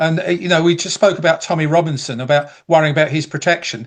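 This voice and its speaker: A man speaks with a high-pitched voice against a quiet background. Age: 70s. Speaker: panelist. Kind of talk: panel discussion. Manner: halting, many fillers.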